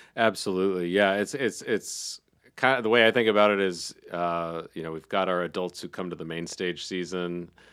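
A man with an American accent has a very deep, low pitch and ordinary pitch variation. The recording is very clean, the background silent. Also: moderate pace. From US South, Charlotte North Carolina. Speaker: theater executive director. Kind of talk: casual radio interview. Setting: radio studio.

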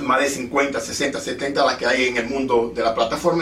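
A man talks at a moderate pace in a fairly high pitch, with ordinary pitch variation. Audible room echo and noticeable background noise surround his voice. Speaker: podcast and radio host. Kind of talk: casual interview. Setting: studio.

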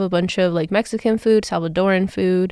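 With an American accent, a normal speaking voice comes through in fairly even intonation on a very clean recording with a silent background. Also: woman. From Las Vegas, Nevada. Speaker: podcast co-host, student. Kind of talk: casual chat.

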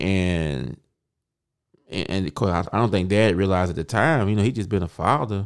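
A man with a very deep, low voice talks with lively intonation on a very clean recording over a silent background. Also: moderate pace. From Mississippi, US South. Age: 30s. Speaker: podcast co-host, preacher. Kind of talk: casual chat.

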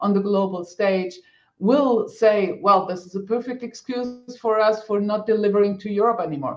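This woman speaks with a German accent. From Germany. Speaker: politician. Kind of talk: panel discussion. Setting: online video event.

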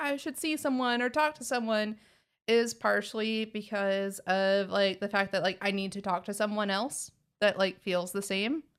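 A woman speaks with an American accent at a moderate pace. Her pitch varies in an ordinary way. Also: very clean recording, silent background. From Texas. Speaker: podcast host. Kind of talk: casual chat.

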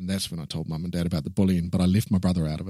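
In a New Zealand accent, a man speaks on a very clean recording with a silent background. The sound is dry and close, with no echo. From New Zealand, Taranaki. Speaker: publisher and inspirational speaker. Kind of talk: casual interview.

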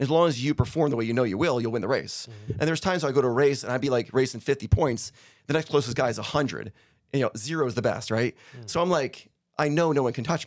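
The speaker talks very fast in an animated tone. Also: man, medium pitch for a man, ordinary pitch variation. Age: 40s. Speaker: winery owner and ski racer. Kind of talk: casual chat.

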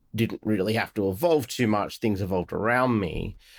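A man with an Australian accent and a medium pitch speaks at a moderate pace in a dry, close sound with no echo. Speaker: podcast host and tech company executive. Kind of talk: podcast interview.

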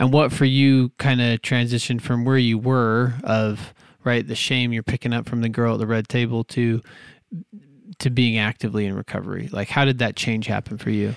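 With an ordinary speaking voice at a medium pitch, a man talks at a moderate pace in a dry, close recording with no echo, very clean with a silent background. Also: fairly even intonation. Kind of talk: casual interview.

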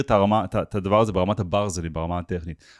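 Speaking very fast, a man comes across with a dry, close sound and no echo. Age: 40s. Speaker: automation agency owner. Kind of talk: podcast interview. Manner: halting with repetitions.

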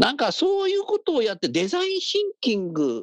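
Animated male voice at a moderate pace, with very wide pitch swings. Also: dry, close sound with no echo. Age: 60s. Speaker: radio host. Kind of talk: casual chat.

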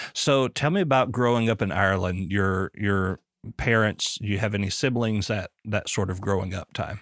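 A man with a Southern US accent speaks at a moderate pace and a fairly low pitch with ordinary pitch variation, in a very clean, dry, close recording with no echo and a silent background. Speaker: podcast host. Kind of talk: casual interview chat.

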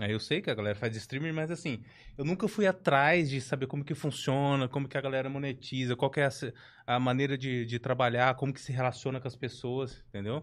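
In a quiet setting, a man talks at a moderate pace with a medium-pitched voice. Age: 40s. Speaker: podcast host. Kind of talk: casual chat. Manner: jokey, animated.

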